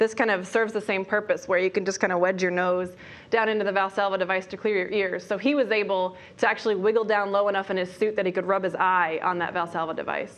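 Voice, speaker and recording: In a quiet background, a woman speaks at a very fast pace. Her medium-pitched voice holds a monotone, flat intonation. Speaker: panelist answering press questions at a spaceflight briefing. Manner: fast talker.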